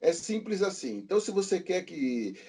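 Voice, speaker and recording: A man speaks at a moderate pace with a high pitch and a dark, mellow tone. His pitch swings very widely. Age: 60s. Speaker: podcast guest, comics enthusiast. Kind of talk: casual chat.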